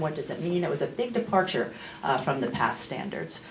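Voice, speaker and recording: A woman at medium pitch and a fairly quick pace, with audible room echo and noticeable background noise. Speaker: school district curriculum administrator. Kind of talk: committee report at board meeting. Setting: public board meeting room. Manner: loud.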